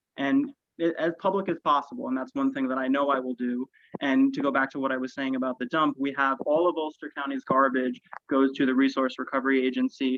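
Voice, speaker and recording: A man with a plain, everyday voice talks at a fairly quick pace. His pitch is fairly high and his intonation fairly even. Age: 20s. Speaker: political candidate. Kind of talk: candidate forum statement. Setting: video call.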